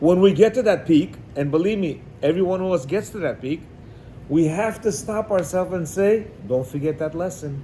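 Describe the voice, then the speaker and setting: Audible room echo surrounds a man with a high pitch and ordinary pitch variation. His tone is animated and his pace fairly quick. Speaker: religious teacher. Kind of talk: lecture. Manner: loud when excited.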